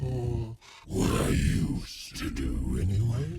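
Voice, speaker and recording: This man puts on a character voice with a menacing tone. His pitch is very deep and low. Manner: menacing, creepy.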